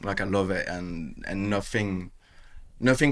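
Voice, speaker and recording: A man with a French accent speaks at a fairly slow pace, his intonation fairly even. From France (south; Bordeaux, Basque Country, Caribbean roots). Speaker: tattoo artist. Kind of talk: casual interview. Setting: tattoo shop. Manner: casual, repetitive fillers.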